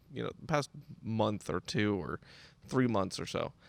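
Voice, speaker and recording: The sound is dry and close, with no echo, and the pace is moderate. Vocal fry runs through a voice with very wide pitch swings. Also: man. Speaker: podcast host. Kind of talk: casual solo podcast talk. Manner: halting, many fillers and restarts.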